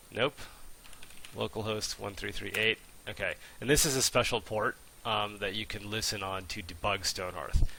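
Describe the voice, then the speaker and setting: A bright, sharp tone with vocal fry, a moderate pace, and long, frequent pauses. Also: man. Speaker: game developer. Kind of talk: live coding tutorial. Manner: animated.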